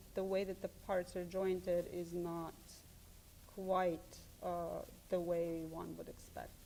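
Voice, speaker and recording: A dark, mellow tone with a Serbian accent. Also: woman. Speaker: art professor. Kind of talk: interview. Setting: studio. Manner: halting.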